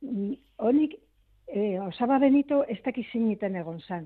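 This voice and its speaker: This woman has a plain, everyday voice with a fairly high pitch. Her pitch varies in an ordinary way. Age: 60s. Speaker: relative of missing civil war soldier. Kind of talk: radio interview.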